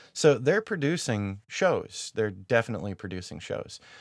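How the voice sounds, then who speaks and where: A man with a medium-pitched, unremarkable speaking voice talks at a moderate pace on a very clean recording with a silent background. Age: 40s. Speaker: podcast host and YouTuber. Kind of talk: solo podcast monologue. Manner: casual, with frequent fillers.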